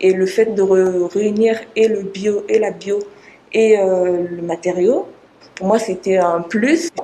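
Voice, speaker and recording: A woman's very slow speech with ordinary pitch variation over noticeable background noise. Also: medium pitch for a woman. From Congo. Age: 20s. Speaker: PhD student researcher. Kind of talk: interview. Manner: hesitant, many fillers.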